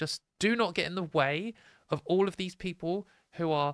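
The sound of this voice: A woman speaks at a moderate pace with a fairly low pitch and ordinary pitch variation. Her tone is clear and smooth, in a dry, close sound with no echo.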